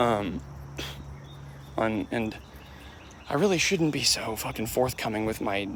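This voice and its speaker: Soft-spoken, this man has a medium-pitched voice. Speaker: YouTuber. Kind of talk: casual vlog monologue. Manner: quiet, soft-spoken.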